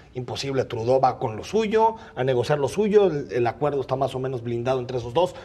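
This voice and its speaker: A man talks at a fairly quick pace, with hardly any pauses. His intonation is lively. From Mexico. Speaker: political commentator. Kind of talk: panel debate; televised debate argument. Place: studio. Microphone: lapel.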